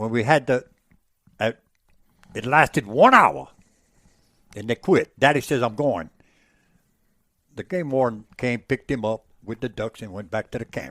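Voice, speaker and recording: A man with a Louisiana accent speaks in an animated tone at a medium pitch and moderate pace, with big swings in loudness. His long, frequent pauses sit in a dry, close sound with no echo. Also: ordinary pitch variation. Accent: Louisiana Southern. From Louisiana, Avoyelles Parish. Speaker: former market hunter. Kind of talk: podcast interview answer. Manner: animated storytelling.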